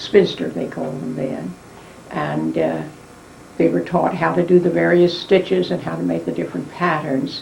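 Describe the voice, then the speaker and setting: Against noticeable background noise and audible room echo, a woman speaks with an American accent. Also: moderate pace. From West Virginia, US. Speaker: elderly interviewee recounting family history. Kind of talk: oral history interview. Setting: dining room at home.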